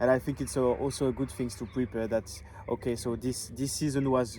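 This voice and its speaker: A man's voice is dark and mellow at a medium pitch. He keeps fairly even intonation at a moderate pace. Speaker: Bible school student. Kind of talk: casual video diary chat. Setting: outdoors by a view. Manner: halting, many fillers.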